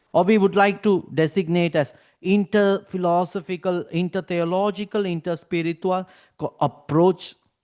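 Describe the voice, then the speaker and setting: A man with a Tamil accent speaks at a moderate pace, high in pitch and with fairly even intonation. The sound is dry and close with no echo, over a quiet background. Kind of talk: academic lecture. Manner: formal.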